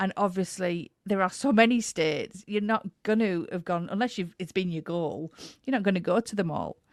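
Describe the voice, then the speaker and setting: The speaker, with an English accent, talks at a moderate pace with ordinary pitch variation, in a dry, close sound with no echo. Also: woman, medium pitch for a woman. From England. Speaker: podcast host. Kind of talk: interview.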